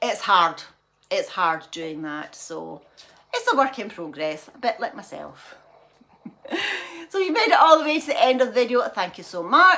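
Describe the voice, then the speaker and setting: With a Scottish accent, a woman talks at a high pitch and moderate pace, leaving long, frequent pauses as her loudness and pitch both swing very widely. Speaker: lifestyle vlogger. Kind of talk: casual vlog chat. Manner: rambling, repetitive.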